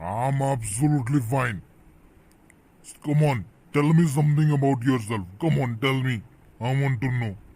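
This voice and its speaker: A put-on character voice from a man, medium in pitch with ordinary pitch variation, a fairly quick pace and long, frequent pauses. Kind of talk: comic overacting. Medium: comedy sketch. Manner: pompous, rambling, mixes English and Hindi.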